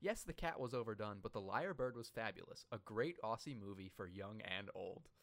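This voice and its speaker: Fairly quick and lively in intonation, a man with an unremarkable speaking voice talks at a medium pitch. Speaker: podcast host. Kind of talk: casual comedic chat, review podcast. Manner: joking, laughing often.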